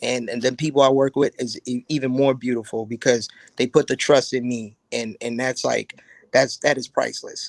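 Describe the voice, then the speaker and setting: The speaker talks at a moderate pace with an American accent, in a monotone, flat delivery. The sound is dry and close, with no echo. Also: man, medium pitch for a man. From South Carolina. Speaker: army veteran and drinks entrepreneur. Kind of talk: interview. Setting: live stream.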